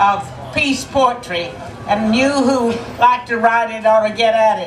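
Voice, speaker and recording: With an American accent and a fairly high pitch, a woman speaks at a fairly slow pace with ordinary pitch variation, over noticeable background noise and audible room echo. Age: 80s+. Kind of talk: rally speech. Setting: outdoor rally with crowd.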